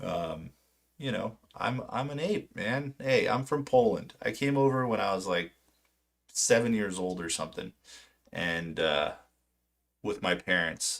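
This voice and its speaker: The speaker uses lively intonation and a fairly slow pace, leaving long, frequent pauses. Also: man, medium pitch for a man. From California, Orange County. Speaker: stock market streamer. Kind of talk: live stream monologue. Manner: halting.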